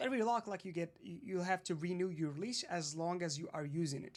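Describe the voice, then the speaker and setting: Talking at a very fast pace, a man uses lively intonation and a high pitch for a male. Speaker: lecturer. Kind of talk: lecture. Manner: halting, self-correcting.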